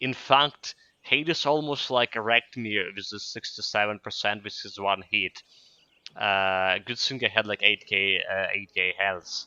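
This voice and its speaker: A man with a Ukrainian accent, fairly low in pitch, bright and sharp in tone, with ordinary pitch variation at a fairly slow pace. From Ukraine. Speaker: video game streamer. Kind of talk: gameplay commentary. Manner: hesitant, many fillers.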